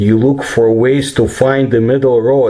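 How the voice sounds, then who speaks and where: Over noticeable background noise, a man with a Russian accent speaks fairly slowly at a medium pitch. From Ukraine, Kiev. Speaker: paranormal researcher and commentator. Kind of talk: personal commentary.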